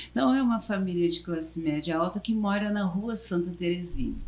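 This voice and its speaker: Here a woman speaks in a somewhat breathy voice. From southern Brazil, Porto Alegre. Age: 70s. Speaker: journalist, former union president. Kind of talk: interview. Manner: halting.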